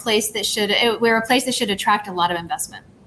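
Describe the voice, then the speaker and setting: A woman with a Southern US accent speaks at a medium pitch in a bright, sharp tone. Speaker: tech company CEO. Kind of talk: panel interview. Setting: video call from empty office.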